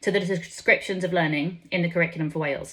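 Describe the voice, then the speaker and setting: A woman with an English accent talks at a very fast pace in a bright, sharp tone with ordinary pitch variation. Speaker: education policy speaker. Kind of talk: conference speech read from script. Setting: conference stage with audience. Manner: formal.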